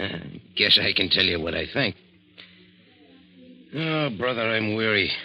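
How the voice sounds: Using a put-on character voice, a man speaks at a fairly low pitch and a fairly slow pace, with a bright, sharp tone and lively intonation.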